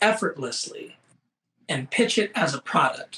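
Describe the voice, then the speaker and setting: A man with an American accent and lively intonation at a moderate pace. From Seattle, Washington. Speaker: fashion photographer. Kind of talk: interview.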